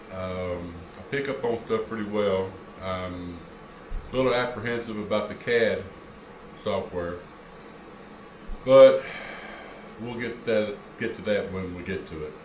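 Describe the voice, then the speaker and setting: A man talks at a fairly slow pace with long, frequent pauses and big swings in loudness. Audible room echo fills the recording. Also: fairly low pitch for a man, ordinary pitch variation. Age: 60s. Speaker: retired hobbyist YouTuber. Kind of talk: casual vlog monologue. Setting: garage. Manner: hesitant, many fillers.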